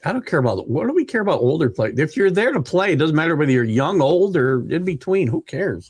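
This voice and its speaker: Very fast and animated, a man talks at a fairly high pitch with very wide pitch swings. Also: hardly any pauses. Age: 60s. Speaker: sports podcast co-host, former baseball coach. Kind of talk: casual sports chat.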